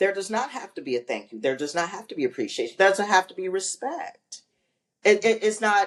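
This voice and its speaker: Speaking at a fairly quick pace, a woman shows vocal fry and very wide pitch swings. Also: medium pitch for a woman. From US Midwest, Ohio. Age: 60s. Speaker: family caregiver. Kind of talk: interview conversation.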